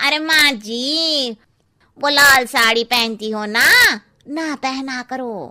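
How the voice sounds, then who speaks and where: Using a cartoonish character voice, a woman speaks at a high pitch. She goes very slowly, with ordinary pitch variation. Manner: blunt, cheeky.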